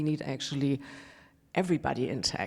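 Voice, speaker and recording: Speaking with a German accent, a woman uses a very deep, low pitch and a dark, mellow tone, with ordinary pitch variation on a very clean recording with a silent background. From Germany. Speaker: panelist, tech professional. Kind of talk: panel discussion.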